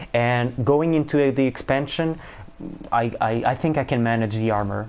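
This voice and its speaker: At a moderate pace, a man with a non-native accent speaks at a medium pitch. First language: not English. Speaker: gaming YouTuber. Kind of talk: gameplay tutorial. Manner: halting, many fillers.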